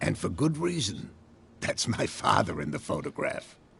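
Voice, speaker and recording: A raspy put-on character voice at a moderate pace. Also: man. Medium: video game.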